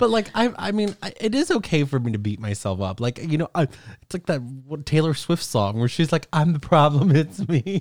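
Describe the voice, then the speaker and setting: A man's fairly high voice, dry and close with no echo, with very wide pitch swings, a moderate pace, and hardly any pauses. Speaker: podcast co-host. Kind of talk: casual chat.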